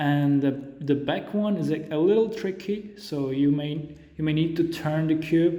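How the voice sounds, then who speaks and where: A man with a non-native accent speaks fairly slowly in a fairly high pitch. His tone is dark and mellow, and audible room echo surrounds it. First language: not English. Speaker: Rubik's cube tutorial creator. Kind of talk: tutorial. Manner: halting.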